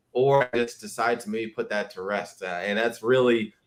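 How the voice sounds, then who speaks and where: This is a plain, everyday voice. A man speaks at a medium pitch. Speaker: affiliate marketer. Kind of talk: interview. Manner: casual, filler-heavy.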